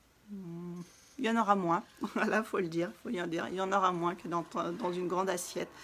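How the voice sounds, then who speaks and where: This woman talks at a moderate pace with a fairly low pitch and ordinary pitch variation. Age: 30s. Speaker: wellness coach. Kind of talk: live stream talk. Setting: live video stream.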